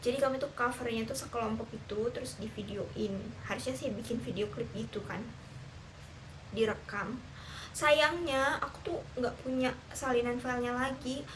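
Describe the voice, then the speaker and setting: Amid noticeable background noise and audible room echo, a woman with a high pitch speaks at a moderate pace with ordinary pitch variation. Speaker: teacher. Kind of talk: casual vlog monologue.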